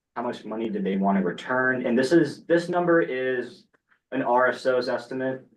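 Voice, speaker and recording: With an ordinary speaking voice, a man talks at medium pitch and a moderate pace. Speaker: student government committee chair. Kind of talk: committee meeting. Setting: meeting room with online participants. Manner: casual.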